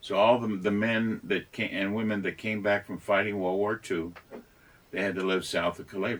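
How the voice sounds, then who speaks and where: Speaking at a moderate pace, a man with a fairly low voice keeps a monotone, flat intonation. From San Antonio, Texas. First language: Spanish. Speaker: business owner. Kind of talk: casual chat.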